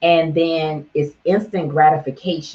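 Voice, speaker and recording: At a very slow pace, a woman talks with an American accent. Her voice is very deep, low, and somewhat breathy. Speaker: internet radio host. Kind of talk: motivational business talk. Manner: animated.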